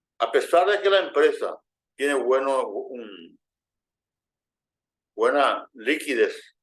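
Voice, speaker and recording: This man talks very slowly. Long pauses come often. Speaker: finance instructor. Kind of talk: lecture. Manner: halting, many repetitions and false starts.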